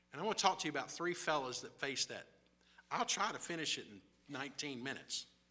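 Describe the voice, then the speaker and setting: A man with a Southern US accent, fairly high-pitched and very fast, with lively intonation and big swings in loudness. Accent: US South. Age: 60s. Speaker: missionary. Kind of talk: sermon. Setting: church.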